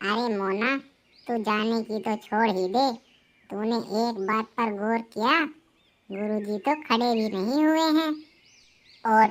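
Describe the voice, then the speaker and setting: A woman uses a cartoonish character voice at a moderate pace with ordinary pitch variation. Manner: trusting, agreeable.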